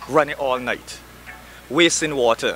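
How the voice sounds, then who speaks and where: With music in the background, a man speaks with fairly even intonation. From Barbados. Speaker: spoken word artist. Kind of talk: spoken word poetry performance.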